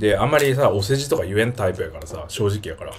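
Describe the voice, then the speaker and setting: Light background noise sits behind a man talking at a very fast pace in an animated tone. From Japan, Miyazaki; Japan. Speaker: YouTuber. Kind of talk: livestream casual chat. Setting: livestream. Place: home room. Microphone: phone near.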